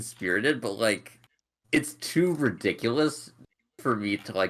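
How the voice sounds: Lively intonation and a natural reading voice, set against a quiet background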